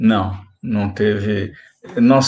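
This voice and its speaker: A man's voice carries vocal fry and lively intonation. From Brazil, São Paulo state (São Paulo city, Araraquara). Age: 70s. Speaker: spiritist centre volunteer. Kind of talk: casual chat.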